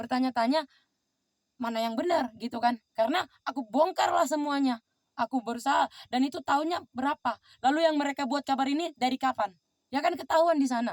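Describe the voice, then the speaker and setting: Animated in tone, a woman speaks at a high pitch and a very fast pace. Her pitch variation is ordinary, and the sound is dry and close with no echo. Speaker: vlogger. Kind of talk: personal monologue vlog. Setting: outdoors.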